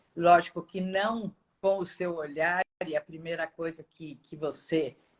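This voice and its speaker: A woman with a plain, everyday voice speaks at a fairly low pitch with fairly even intonation and big swings in loudness, the sound dry and close with no echo. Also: fairly slow pace. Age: 60s. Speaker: course student. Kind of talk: casual chat.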